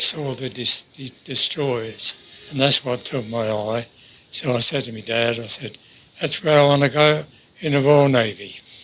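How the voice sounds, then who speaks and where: A man with a medium pitch and ordinary pitch variation speaks at a fairly slow pace, with big swings in loudness and noticeable background noise. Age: 90s. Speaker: D-Day veteran and Royal Navy gunner. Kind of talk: interview answer.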